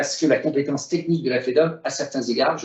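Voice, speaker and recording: Talking at a very fast pace, this man uses a fairly high pitch. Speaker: business federation president, former member of parliament. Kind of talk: webinar presentation. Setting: video call. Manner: hesitant, many fillers.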